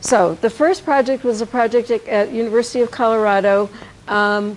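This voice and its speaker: Here is a plain, everyday voice from a woman with a fairly high pitch. Her pace is moderate and her intonation fairly even. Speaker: education professor. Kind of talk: lecture.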